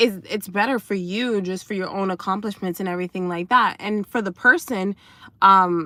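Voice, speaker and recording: On a very clean recording with a silent background and a dry, close sound with no echo, a woman speaks at a medium pitch and moderate pace, her tone bright and sharp and her intonation fairly even. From United States (Haitian family). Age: adult, college graduate. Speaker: dating coach and livestreamer. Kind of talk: casual livestream chat. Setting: in a parked car. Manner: halting, many fillers.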